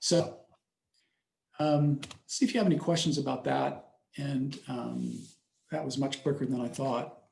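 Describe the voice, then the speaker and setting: Somewhat breathy and fairly high, a man's voice moves at a fairly slow pace with long, frequent pauses. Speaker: pastor giving a talk to a church class. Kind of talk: personal presentation in a class.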